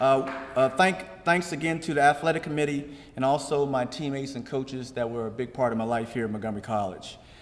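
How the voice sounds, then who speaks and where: A man with an American accent talks at a very fast pace and medium pitch. Background noise is noticeable, and room echo can be heard. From Maryland, Rockville. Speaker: athletics hall of fame inductee, former coach. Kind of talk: award acceptance speech. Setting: stage with audience. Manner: halting, with repetitions and fillers.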